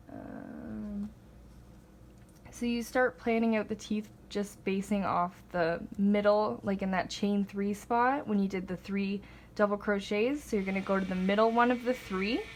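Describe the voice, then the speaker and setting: At a fairly slow pace, a woman talks in an unremarkable speaking voice at a medium pitch with ordinary pitch variation. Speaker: crochet tutorial maker. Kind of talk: tutorial. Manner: casual, filler-heavy.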